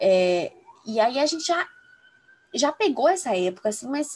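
Somewhat breathy, a woman speaks at a moderate pace in a fairly high pitch with very wide pitch swings. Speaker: law student. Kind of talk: casual chat.

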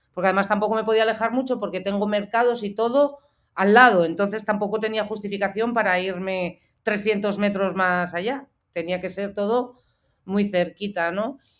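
A woman at a medium pitch speaks at a moderate pace with fairly even intonation, on a very clean recording with a silent background. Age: 40s. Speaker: photojournalist. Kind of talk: interview. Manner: halting.

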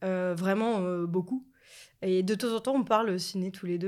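An ordinary speaking voice talks at a fairly slow pace with fairly even intonation. The recording is very clean, with a silent background. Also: woman. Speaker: podcast guest, film fan. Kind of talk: casual chat.

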